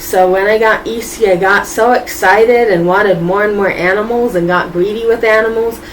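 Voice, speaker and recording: Speaking at a moderate pace with an American accent, a woman is heard over noticeable background noise with audible room echo. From Boston, US. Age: 20s. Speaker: YouTuber, vlogger. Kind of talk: casual vlog monologue.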